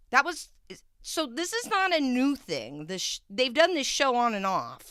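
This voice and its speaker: Her tone is bright and sharp. This woman's voice swings very widely in pitch. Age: 30s. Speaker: live stream reaction commentator. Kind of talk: live reaction commentary. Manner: casual, opinionated.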